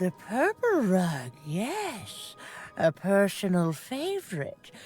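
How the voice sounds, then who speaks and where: Over clear background music, a woman speaks in a put-on character voice at a very slow pace. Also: medium pitch for a woman. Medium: video game. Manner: cryptic, knowing, gentle.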